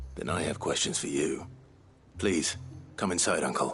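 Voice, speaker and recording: This man puts on a raspy character voice pitched very deep and low. He talks at a moderate pace. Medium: video game.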